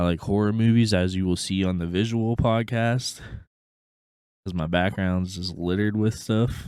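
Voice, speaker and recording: With an American accent and a plain, everyday voice, a man speaks at a moderate pace, fairly low in pitch and with fairly even intonation. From Pittsburgh, Pennsylvania. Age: 20s. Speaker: podcast co-host. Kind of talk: casual chat. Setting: Discord voice call.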